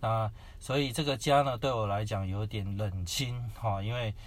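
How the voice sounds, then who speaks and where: A man's fairly low, somewhat breathy voice. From Taiwan, Kaohsiung. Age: young. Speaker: preacher, former Japanese-cuisine chef. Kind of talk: personal testimony interview.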